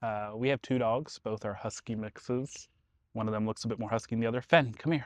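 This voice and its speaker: In a dry, close sound with no echo and a quiet background, a man uses an ordinary speaking voice at a medium pitch, moving at a fairly quick pace with fairly even intonation. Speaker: vlogger and artist. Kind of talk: casual vlog. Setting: outdoors at a dog park.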